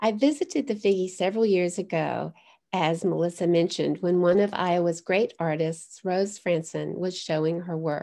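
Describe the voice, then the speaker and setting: At a moderate pace, a woman talks in a dark, mellow tone over a quiet background. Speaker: guest. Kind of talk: lecture. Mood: warm, gracious. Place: home room. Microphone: webcam.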